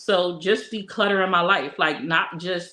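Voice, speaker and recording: A woman at a moderate pace. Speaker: vlogger. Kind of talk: casual chat. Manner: loud.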